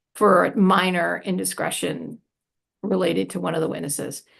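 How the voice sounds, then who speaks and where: With vocal fry and an animated tone, a woman speaks at a moderate pace in a fairly low pitch with ordinary pitch variation. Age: 60s. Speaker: prison radio organization director. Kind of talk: panel discussion Q&A. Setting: live Zoom webinar.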